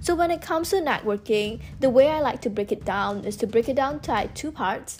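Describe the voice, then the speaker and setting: A woman with a normal speaking voice, fairly high pitch, lively intonation and a fairly quick pace. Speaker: student and content creator. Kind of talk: casual chat. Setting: podcast interview.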